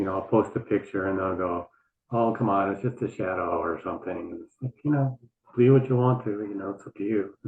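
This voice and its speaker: This is a plain, everyday voice at a fairly quick pace. Pitch varies in an ordinary way while loudness swings widely. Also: man, fairly low pitch for a man. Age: 60s. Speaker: Instagram account owner posting Mars rover photos. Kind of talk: casual chat.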